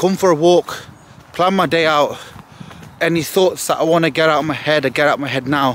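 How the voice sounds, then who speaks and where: With noticeable background noise, a man at a fairly high pitch speaks at a fairly quick pace in an energetic tone, using ordinary pitch variation and long, frequent pauses. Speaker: bodybuilder vlogger. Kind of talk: casual vlog monologue. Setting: outdoors on morning walk. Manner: casual, profane, energetic.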